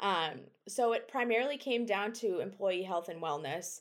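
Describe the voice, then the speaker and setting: A woman with an American accent talks at a moderate pace and medium pitch. She has an ordinary speaking voice with ordinary pitch variation. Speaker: food science PhD student. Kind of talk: interview.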